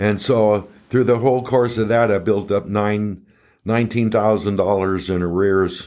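A man has an unremarkable speaking voice with a fairly low pitch and fairly even intonation. He talks at a moderate pace in a very clean recording with a silent background. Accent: American. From Southern California. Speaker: recovery guest sharing his story. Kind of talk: casual interview, personal story. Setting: studio.

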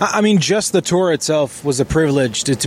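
A man talks at a fairly quick pace, with noticeable background noise in the mix. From Israel. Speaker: rock band member. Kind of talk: interview.

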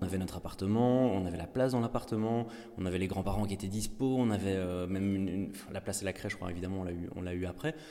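A man talks at a very fast pace with a dark, mellow tone. His fairly low pitch shows ordinary variation. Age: 30s. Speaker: father sharing pregnancy loss story. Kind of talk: personal testimony. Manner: halting.

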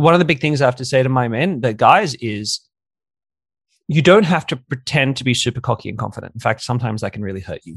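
Somewhat breathy speech races along at a very fast pace with lively intonation and big swings in loudness against a quiet background. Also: man, medium pitch for a man. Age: 30s. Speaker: dating coach. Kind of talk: interview.

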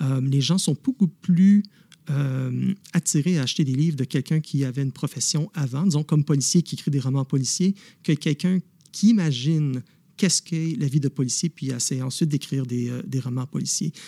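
A man speaks in a somewhat breathy, dark, mellow tone at a fairly high pitch, with ordinary pitch variation. The pace is moderate, and the sound is dry and close with no echo. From Quebec, Montreal. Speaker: novelist and former police officer. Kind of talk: interview. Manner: hesitant, many fillers.

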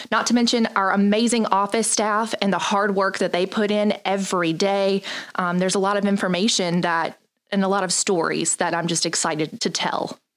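At a moderate pace, a woman of medium pitch speaks with a slight Southern US accent. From North Carolina. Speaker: communications director, former TV news anchor. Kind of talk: company video chat. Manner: energetic.

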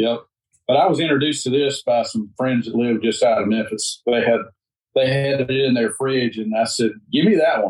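A man with a Mississippi accent, at a moderate pace, in a medium pitch with ordinary pitch variation. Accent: Mississippi Southern US. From US South, Mississippi. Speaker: agricultural association director. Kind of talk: casual chat.

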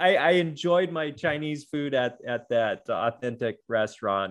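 A normal speaking voice with an American accent goes at a moderate pace. There are hardly any pauses. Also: man. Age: 40s. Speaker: adaptive athlete. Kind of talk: interview conversation.

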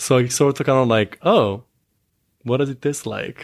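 A man with an Italian accent is heard in a very clean recording against a silent background. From Italy. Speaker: adult film performer. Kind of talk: casual interview.

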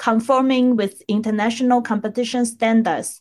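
This woman has an ordinary speaking voice. Her pitch is fairly high and her intonation fairly even. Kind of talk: podcast intro and news reading.

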